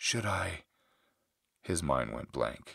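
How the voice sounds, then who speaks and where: There is vocal fry in this man's voice as he talks at a very slow pace. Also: very clean recording, silent background. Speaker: author reading his own audiobook. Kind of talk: ASMR audiobook fantasy narration.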